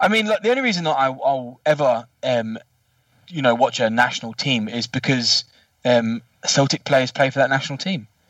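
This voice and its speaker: A man with a southern English accent speaks at a moderate pace with lively intonation over a quiet background. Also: medium pitch for a man. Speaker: football podcast panelist. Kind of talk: casual chat. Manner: swearing, blunt.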